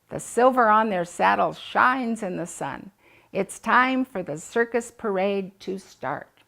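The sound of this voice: The recording features an unforced reading voice.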